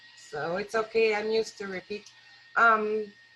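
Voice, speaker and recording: A woman speaks with a French-Canadian accent. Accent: foreign accent (French-Canadian). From rural Quebec, Canada. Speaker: wildlife rehabilitator, guest speaker. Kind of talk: talk at a worship service. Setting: live-streamed church service. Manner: hesitant, many fillers.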